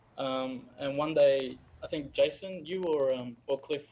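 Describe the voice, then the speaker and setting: This is a man talking in an Australian accent. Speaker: game character artist. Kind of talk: live stream interview. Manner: halting, many fillers.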